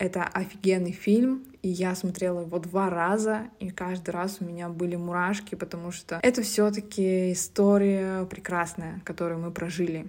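Over a silent background in a very clean recording, a woman at a medium pitch talks at a moderate pace with hardly any pauses and monotone, flat intonation. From Russia, Zabaykalsky Krai (Siberia). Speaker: podcaster, reality TV show winner. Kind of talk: casual monologue. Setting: shared apartment room.

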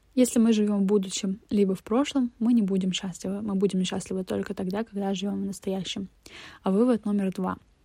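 A woman's somewhat breathy voice with a dark, mellow tone, medium pitch, a moderate pace and fairly even intonation. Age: 20s. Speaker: podcaster. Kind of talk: personal monologue podcast.

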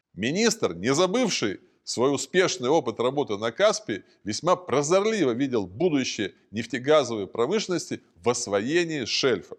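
With very wide pitch swings, a man talks at a fairly high pitch. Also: moderate pace, quiet background. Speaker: narrator. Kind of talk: documentary narration. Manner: formal; measured.

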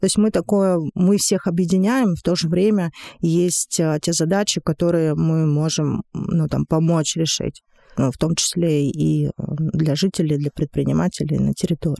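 On a very clean recording with a silent background and a dry, close sound with no echo, a woman speaks at a fairly slow pace in a fairly low pitch, her dark, mellow tone holding very even loudness and fairly even intonation. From Monchegorsk, Murmansk region, Russia. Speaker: director of a city development agency. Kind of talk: podcast interview.

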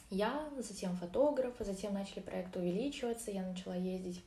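A woman speaks at a moderate pace in a medium pitch with ordinary pitch variation. Audible room echo surrounds her voice. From Orenburg, Russia. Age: 20s. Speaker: marketer and psychologist. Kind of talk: casual interview.

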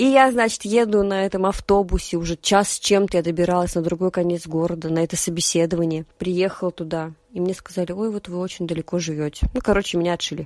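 Very fast, hardly any pauses, a woman's fairly low pitch and fairly even intonation. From Russia, Nizhny Novgorod region. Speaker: podcaster and theatre worker. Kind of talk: casual chat.

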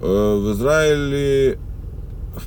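Over noticeable background noise and audible room echo, a man with a fairly low voice talks with very wide pitch swings. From former Soviet Union. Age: 40s. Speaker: video blogger. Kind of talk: casual monologue. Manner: rambling, halting.

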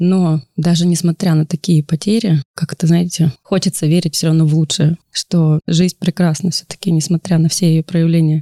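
A woman's fairly low, dark, mellow voice at a moderate pace, with fairly even intonation and a dry, close sound with no echo. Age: 30s. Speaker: war widow, mother of two. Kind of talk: interview conversation. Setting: studio.

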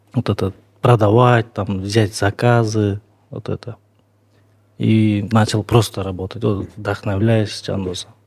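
The speech comes at a very slow pace with long, frequent pauses, monotone, flat intonation and a somewhat breathy sound. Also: man, fairly low pitch for a man, dry, close sound with no echo. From Kyrgyzstan, Naryn. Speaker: sculptor. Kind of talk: interview.

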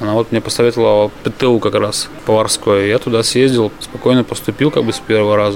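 Over noticeable background noise, a man talks at a very fast pace. His pitch is medium, with ordinary variation. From Yaroslavl region, Russia. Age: 30s. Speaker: chef. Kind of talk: casual chat. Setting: restaurant.

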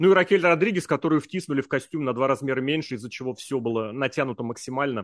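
A man at a very fast pace with hardly any pauses, fairly high pitch and ordinary pitch variation, in a dry, close sound with no echo over a quiet background. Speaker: podcast host. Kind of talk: casual chat.

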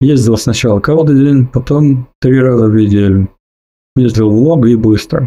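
A man's dark, mellow, medium-pitched voice at a fairly slow pace, with ordinary pitch variation and very even loudness. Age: 40s. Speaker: weight-loss story contributor. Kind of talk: personal testimony. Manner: calm, measured.

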